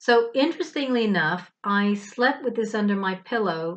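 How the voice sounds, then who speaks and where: With an American accent and a normal speaking voice, a woman talks at a moderate pace and medium pitch, using ordinary pitch variation. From US and England. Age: 50s. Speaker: spiritual vlogger. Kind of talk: casual monologue.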